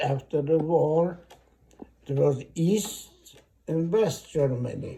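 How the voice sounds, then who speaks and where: Speaking at a very slow pace, a man has a fairly high voice, a dark, mellow tone and ordinary pitch variation. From East Germany. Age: 80s+. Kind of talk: interview answer. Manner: halting, hesitant.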